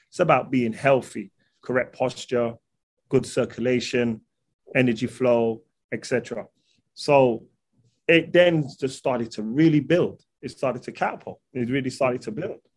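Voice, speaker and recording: A man with a London accent speaks at a fairly slow pace with long, frequent pauses. His pitch is medium and varies in an ordinary way. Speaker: holistic nutrition practitioner. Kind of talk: casual interview.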